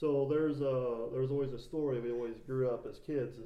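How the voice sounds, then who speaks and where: Fairly quick, monotone, flat speech from a man at a medium pitch, with noticeable background noise. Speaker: podcast host. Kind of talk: casual chat.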